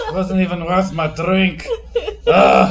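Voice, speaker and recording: Over light background noise, a man does a put-on character voice pitched high. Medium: actual play. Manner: gruff, boastful.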